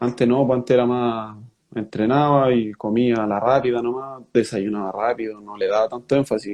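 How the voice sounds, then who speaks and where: A man with a Chilean accent talks at a medium pitch, keeping his intonation fairly even. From Chile, Rengo (O'Higgins region). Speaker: professional footballer. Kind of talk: interview.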